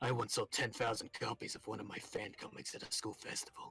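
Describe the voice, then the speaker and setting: Someone whispers in a put-on character voice at a moderate pace. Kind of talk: pompous, nerdy. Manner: self-important, proud.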